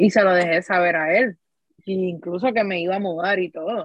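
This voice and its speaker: A woman in an unremarkable speaking voice, medium-pitched with ordinary pitch variation, at a fairly slow pace. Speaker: podcast host. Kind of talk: casual chat.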